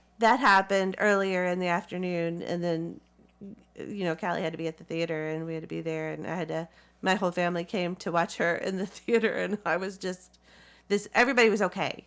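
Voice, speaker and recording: Fairly low in pitch, a woman speaks with a Southern US accent. Her pace is fairly quick and her intonation fairly even. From US South. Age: 40s. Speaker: community theatre actress. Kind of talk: interview. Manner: halting.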